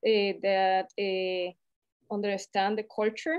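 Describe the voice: Speaking at a fairly slow pace, a woman talks with a Latin American accent.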